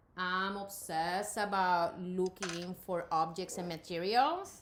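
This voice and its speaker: Speaking at a fairly slow pace, a woman with a slight Puerto Rican accent keeps her intonation fairly even. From Puerto Rico. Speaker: artist and college professor. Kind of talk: interview.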